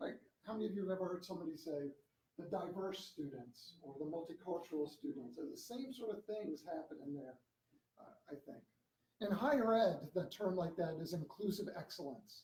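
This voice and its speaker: Speaking at a fairly quick pace, a man with a high pitch and a dark, mellow tone uses lively intonation and big swings in loudness. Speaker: education equity scholar. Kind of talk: academic lecture. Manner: fast; animated.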